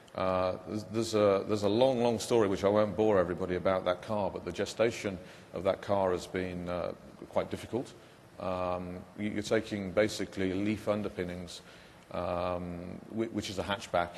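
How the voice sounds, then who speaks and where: A man with a British accent, fairly low-pitched and monotone, at a moderate pace, with audible room echo. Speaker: car company executive. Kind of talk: panel discussion. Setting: conference stage, webcast. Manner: halting, many fillers.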